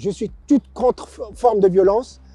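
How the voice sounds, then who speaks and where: Music plays behind a man with a high pitch and ordinary pitch variation who speaks at a very slow pace in a dry, close sound with no echo. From Morocco, Casablanca. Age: 60s. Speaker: former boxer, long-distance cyclist. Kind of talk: interview. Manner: halting, many hesitations.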